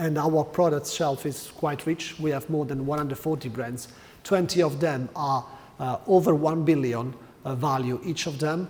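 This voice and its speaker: Fairly high-pitched and with an Italian accent, a man speaks at a moderate pace with fairly even intonation. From Italy. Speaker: corporate learning manager. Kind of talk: conference talk. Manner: hesitant, with fillers.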